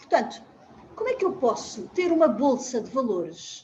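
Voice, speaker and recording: A woman with a high pitch and a dark, mellow tone talks at a fairly slow pace, her pitch swinging very widely. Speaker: family constellation therapist. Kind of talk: interview conversation. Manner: halting.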